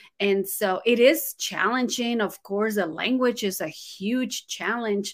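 In a very clean recording with a silent background, a woman with a Spanish accent speaks fairly slowly at a fairly high pitch with ordinary pitch variation. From Guatemala. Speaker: ESL teacher and author. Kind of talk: casual interview chat. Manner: animated.

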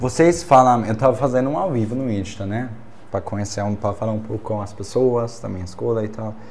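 A man's medium-pitched voice with a non-native accent, ordinary pitch variation and a fairly quick pace, plus audible room echo. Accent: foreign accent in Portuguese. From Germany. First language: German (speaking Portuguese). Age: 20s. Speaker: exchange student and Instagram personality. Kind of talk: casual chat.

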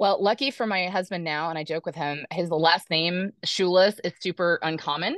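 With hardly any pauses, an unremarkable speaking voice keeps a moderate pace and ordinary pitch variation. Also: woman, fairly low pitch for a woman. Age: 40s. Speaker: life coach and author. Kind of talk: interview.

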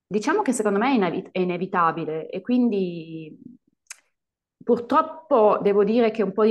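A woman with an ordinary speaking voice, ordinary pitch variation and a moderate pace. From Italy. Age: 30s. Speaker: English teacher. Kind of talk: casual chat.

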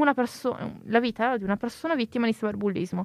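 In a normal speaking voice with ordinary pitch variation, the speaker talks at a fairly quick pace, the sound dry and close with no echo. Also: woman. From Italy. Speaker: podcast co-host, university student. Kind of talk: casual chat.

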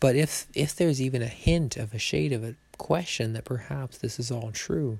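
Quiet and somewhat breathy, a man speaks at a medium pitch with lively intonation. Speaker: podcaster reviewing a public thinker's views. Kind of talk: solo monologue commentary. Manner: quiet, mellow tones.

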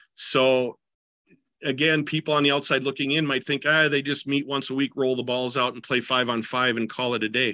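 This man speaks at a medium pitch and a fairly quick pace. His tone is bright and sharp, his intonation monotone and flat. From US Midwest, southeastern Minnesota. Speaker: basketball coach and teacher. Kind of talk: interview conversation. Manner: hesitant, many fillers and restarts.

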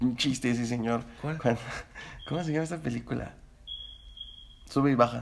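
A man speaks at a fairly quick pace with a medium pitch and ordinary pitch variation. He leaves long, frequent pauses. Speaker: podcast co-host. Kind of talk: casual chat.

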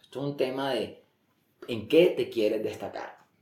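Medium pitch and a moderate pace from a man, plus audible echo off the room. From Colombia, Barranquilla (Caribbean coast). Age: 40s. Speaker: former finance executive. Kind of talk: interview. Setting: at the guest's home.

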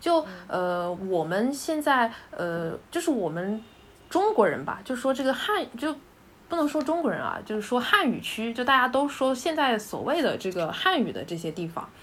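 A high-pitched woman at a moderate pace, pitch swinging very widely, over noticeable background noise. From Hunan, China. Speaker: dialectology graduate. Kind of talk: casual chat.

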